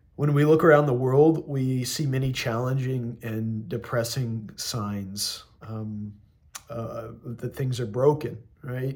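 Amid audible room echo, a man talks very slowly with fairly even intonation and big swings in loudness. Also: medium pitch for a man. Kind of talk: recorded homily. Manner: halting, many fillers.

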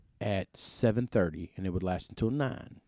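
Heard on a very clean recording with a silent background, the voice has a dark, mellow tone, a Mississippi accent, lively intonation and a fairly quick pace. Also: man. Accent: US Southern (Mississippi). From Mississippi Delta (Indianola). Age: 30s. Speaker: podcast host. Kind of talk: casual chat. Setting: in a converted bank venue downtown.

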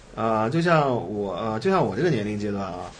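In audible room echo, a man talks at a fairly quick pace with very wide pitch swings. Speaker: tech entrepreneur and former CTO. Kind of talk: interview. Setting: in-person studio recording with three people.

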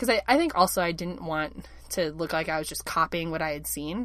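This woman speaks fairly quickly in a fairly low pitch, her tone bright and sharp, with vocal fry. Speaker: podcast co-host, newcomer stage actor. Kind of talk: casual chat. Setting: recording in a closet.

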